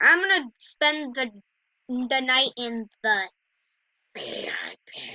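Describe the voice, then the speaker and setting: In a dry, close recording with no echo, a woman with a high voice and a bright, sharp tone projects at a very slow pace, her intonation lively and her loudness swinging widely. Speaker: gaming YouTuber. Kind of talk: gameplay commentary.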